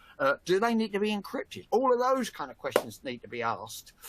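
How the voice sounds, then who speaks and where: In a bright, sharp tone, a man speaks at a moderate pace. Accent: Cockney. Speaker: industry analyst and webinar host. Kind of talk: webinar discussion. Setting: online webinar. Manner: halting, many repetitions.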